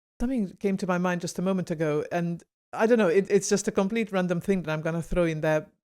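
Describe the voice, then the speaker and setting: A dark, mellow voice talks at a very fast pace with ordinary pitch variation. The recording is very clean, with a silent background. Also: woman, medium pitch for a woman. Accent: Hungarian. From Hungary. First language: Hungarian. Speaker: podcast host. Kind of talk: podcast interview.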